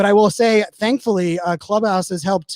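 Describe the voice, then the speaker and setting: A man's high voice, with ordinary pitch variation, comes through dry and close with no echo. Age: 40s. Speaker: marketing speaker and podcaster. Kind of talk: interview conversation. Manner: fast; animated.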